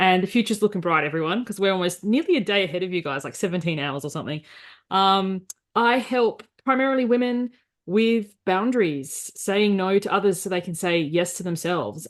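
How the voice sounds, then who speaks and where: With an Australian accent, a woman speaks at medium pitch and a fairly quick pace, her intonation lively, over a quiet background. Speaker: life coach. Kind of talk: interview conversation. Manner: direct.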